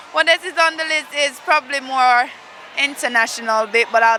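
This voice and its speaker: A woman talks fairly quickly while noticeable noise runs behind her. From Jamaica. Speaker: netball player. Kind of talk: interview.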